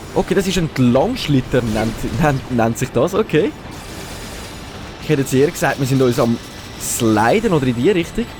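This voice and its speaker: With music in the background, a man with a Swiss German accent and a fairly high pitch talks at a moderate pace, using lively intonation and long, frequent pauses. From Switzerland. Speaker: let's play gamer. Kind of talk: casual gameplay commentary.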